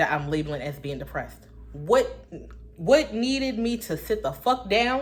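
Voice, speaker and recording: A woman talks in an animated tone with very wide pitch swings. Her voice has vocal fry. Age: 20s. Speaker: vlogger. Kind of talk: casual monologue.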